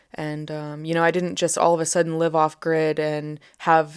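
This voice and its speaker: A woman with an American accent and fairly low pitch at a moderate pace, in a very clean recording with a silent background. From USA. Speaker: bushcraft and wilderness instructor. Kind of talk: interview.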